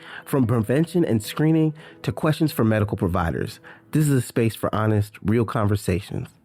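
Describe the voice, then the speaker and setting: A man at a fairly quick pace, lively intonation and very even loudness, with music in the background. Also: medium pitch for a man. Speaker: podcast host. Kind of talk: podcast intro.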